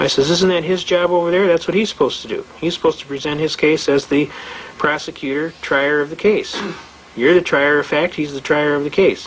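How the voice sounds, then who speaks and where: With an American accent, a man talks at a fairly quick pace and a fairly high pitch amid noticeable background noise. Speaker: constitutional rights lecturer. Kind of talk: lecture with anecdotes. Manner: fast; animated storytelling.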